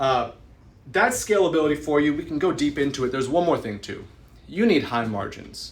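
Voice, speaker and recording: This man's fairly high voice is somewhat breathy and animated in tone. He speaks at a fairly quick pace with lively intonation. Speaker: real estate investor and educator. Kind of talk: live stream talk. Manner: fast.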